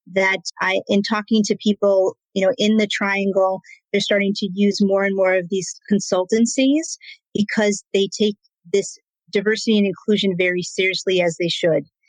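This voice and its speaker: At a moderate pace, a woman with a medium-pitched voice speaks with very even loudness and fairly even intonation in a dry, close sound with no echo. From United States, Argentine family. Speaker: business consultant. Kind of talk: interview conversation. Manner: loud, passionate.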